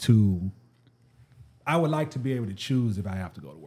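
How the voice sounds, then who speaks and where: In a very clean recording with a silent background, a man with a Southern US accent speaks in a dark, mellow, somewhat breathy tone with ordinary pitch variation. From US South. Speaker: YouTuber sneaker reviewer. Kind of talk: casual interview chat. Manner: animated, funny, conversational.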